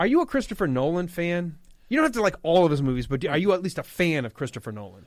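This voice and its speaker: Very fast speech in a Midwestern US accent, with very wide pitch swings, on a very clean recording with a silent background. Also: man. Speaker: fill-in radio host. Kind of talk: casual talk radio chat. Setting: radio studio. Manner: animated, passionate.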